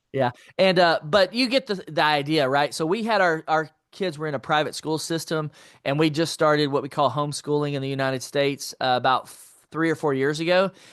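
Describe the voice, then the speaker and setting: A man with an American accent talks at a fairly quick pace in an unremarkable speaking voice, pitched fairly high. Pitch variation is ordinary, and the sound is dry and close with no echo against a quiet background. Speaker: entrepreneur and finance author. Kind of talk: interview.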